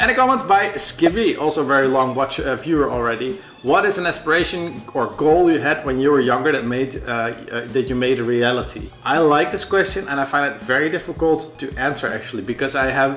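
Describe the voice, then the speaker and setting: A man with a Dutch accent talks at a fairly quick pace, with hardly any pauses, a fairly high pitch and ordinary pitch variation. The room echo is audible, and music plays in the background. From Netherlands. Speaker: vlogger. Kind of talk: casual chat.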